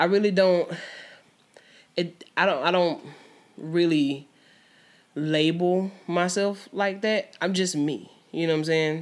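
This woman has an American accent and a fairly low pitch with fairly even intonation. She talks at a very slow pace, leaving long, frequent pauses. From US South, Georgia. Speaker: musician. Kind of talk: casual chat.

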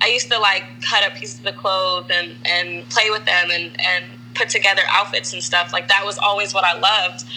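Over noticeable background noise, a woman with an American accent talks at a fairly quick clip with hardly any pauses, her fairly low voice making very wide pitch swings. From Maryland, Silver Spring. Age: 20s. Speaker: fashion stylist. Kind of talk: casual interview.

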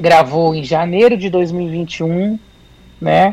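A woman with a fairly low voice speaks very slowly, her intonation fairly even. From São Paulo city, Brazil. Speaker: MPB singer-songwriter. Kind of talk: radio interview.

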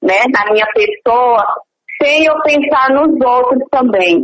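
The pace of this woman's speech is very slow. Her pitch variation is ordinary. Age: 30s. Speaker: small business owner with low vision. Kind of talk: interview.

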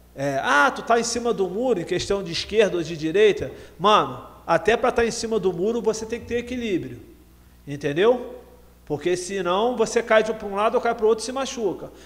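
A man with a high-pitched voice and lively intonation. He talks at a fairly quick pace. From Rio de Janeiro, Baixada Fluminense. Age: 40s. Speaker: rapper and anti-drug speaker. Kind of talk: casual interview.

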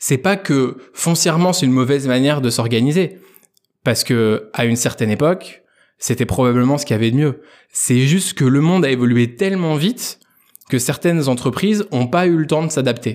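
A man with a plain, everyday voice talks at a fairly quick pace and a fairly high pitch, using lively intonation. His loudness is very even, and the recording is very clean with a silent background. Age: 20s. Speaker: entrepreneur. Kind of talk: interview. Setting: guest's office.

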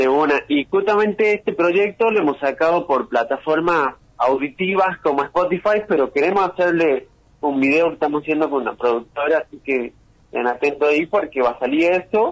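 A man with a Tucumán accent talks at a moderate pace with fairly high pitch. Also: ordinary pitch variation. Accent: Argentine Spanish, Tucumán. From Argentina, San Miguel de Tucumán. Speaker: rapper and music producer. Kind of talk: interview.

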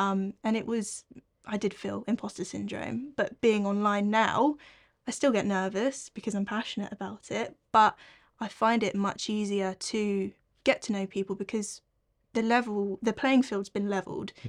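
In an English accent, a woman of medium pitch talks at a moderate pace with fairly even intonation, captured in a very clean recording with a silent background. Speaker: co-host. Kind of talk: casual chat.

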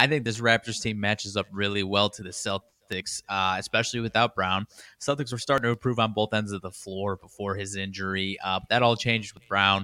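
Fairly low in pitch, a man with an American accent talks at a fairly quick pace in a bright, sharp tone. The sound is dry and close, with no echo. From Chicago, US Midwest. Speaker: sports betting co-host. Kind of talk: casual banter on a live sports betting show. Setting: live stream studio.

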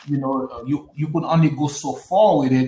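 Delivery comes at a fairly slow pace. The voice has a somewhat breathy quality. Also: man. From US Northeast, Brooklyn, New York. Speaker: podcast co-host. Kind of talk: casual political discussion.

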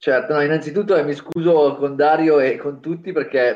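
This man's voice sits at a fairly high pitch. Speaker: podcast co-host. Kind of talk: interview. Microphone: unstable internet connection.

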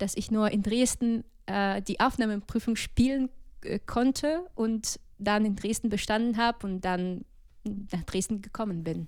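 A woman talks in a normal speaking voice at medium pitch, fairly slow. Her intonation is fairly even, and the recording is very clean with a silent background. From Ukraine, Odessa region. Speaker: jazz singer and music student. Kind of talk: casual interview.

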